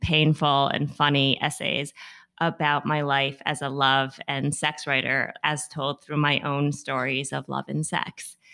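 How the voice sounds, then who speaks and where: With an American accent, this voice has a bright, sharp tone and vocal fry, moving at a fairly slow pace. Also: woman, very clean recording, silent background. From Massachusetts, US. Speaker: writer and magazine columnist. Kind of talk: casual chat.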